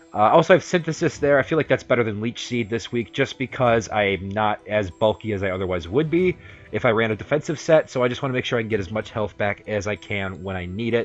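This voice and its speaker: Over music in the background, a man talks at a very fast pace with lively intonation and hardly any pauses. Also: medium pitch for a man. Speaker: YouTuber, Pokemon league coach. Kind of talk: gaming commentary, team breakdown. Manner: fast, energetic; occasional stutter, repeats words.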